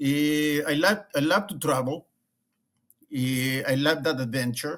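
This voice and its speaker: A man is speaking. He has an Argentine accent. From Argentina. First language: Spanish. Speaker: leadership consultant and former rabbi. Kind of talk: interview conversation. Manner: halting, many repetitions and fillers.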